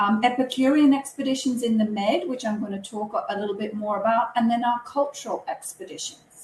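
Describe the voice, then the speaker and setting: In a British accent, a woman speaks at a fairly high pitch with ordinary pitch variation. Her voice is somewhat breathy and her pace is moderate. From UK. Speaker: cruise line representative. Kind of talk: webinar presentation. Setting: online webinar.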